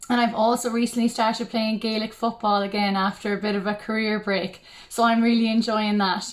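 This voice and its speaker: Speaking in a western Irish accent, a woman talks at a fairly quick pace with monotone, flat intonation. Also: fairly high pitch for a woman. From Ireland, County Mayo. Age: 20s. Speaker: beauty pageant contestant. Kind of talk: self-introduction. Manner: hesitant, with many ums.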